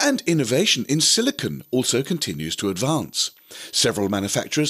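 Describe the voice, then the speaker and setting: On a very clean recording with a silent background, a man talks at a moderate pace with vocal fry and very wide pitch swings. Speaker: amateur radio podcast host. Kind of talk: scripted news narration. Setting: home radio shack.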